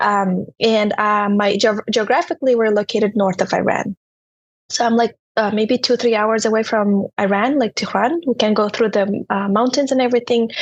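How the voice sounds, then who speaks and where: A woman with a Turkmen accent speaks at a moderate pace in a fairly high pitch, her intonation fairly even and her loudness very even, in a dry, close sound with no echo. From Turkmenistan. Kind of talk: podcast interview.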